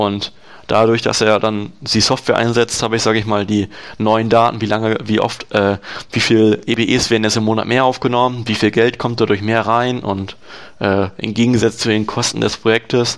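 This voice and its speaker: Speaking at a moderate pace, a man keeps his intonation monotone and flat. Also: medium pitch for a man. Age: 20s. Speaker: software developer and dual-study student. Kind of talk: interview. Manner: hesitant, many fillers.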